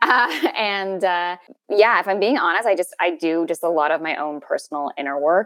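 Speaking with a Canadian accent, a woman uses a medium pitch and a moderate pace in a very clean recording with a silent background. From Canada, interior of British Columbia. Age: 30s. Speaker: actress. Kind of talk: personal interview conversation.

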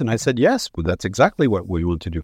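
A man with a Quebec accent, in a dry, close sound with no echo and a quiet background. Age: 60s. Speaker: rock band frontman. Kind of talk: interview. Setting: remote call from home.

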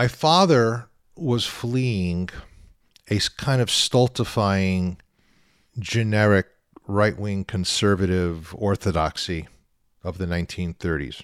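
On a very clean recording with a silent background, a man with a fairly low pitch speaks at a very slow pace, using ordinary pitch variation and long, frequent pauses. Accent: American. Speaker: rabbi and podcast host. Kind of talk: interview. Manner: animated.

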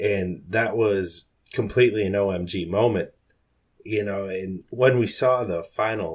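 A man's fairly low-pitched voice, a normal speaking voice with fairly even intonation, on a very clean recording with a silent background. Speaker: fantasy football analyst. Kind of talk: casual chat.

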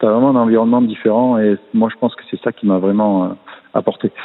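With a fairly low pitch and a flat, monotone delivery, a man talks at a fairly quick pace. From southern France, Martigues (Provence). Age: 40s. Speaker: swimming coach, former swimmer. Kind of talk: interview.

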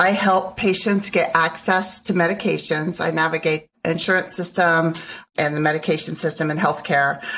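An unremarkable speaking voice belongs to a woman with a fairly low pitch. She keeps a moderate pace and fairly even intonation. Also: very even loudness. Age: 50s. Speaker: guest, first-time real estate investor. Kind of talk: casual interview.

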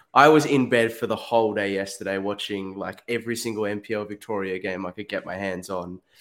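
Speaking with an Australian accent, a man uses a fairly low pitch and fairly even intonation. He moves at a fairly quick pace with hardly any pauses. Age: young. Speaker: football pundit. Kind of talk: casual chat.

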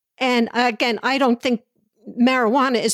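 This woman has an ordinary speaking voice with an American accent and a fairly high pitch. She speaks at a moderate pace. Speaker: former back-to-the-land radical. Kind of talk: interview conversation.

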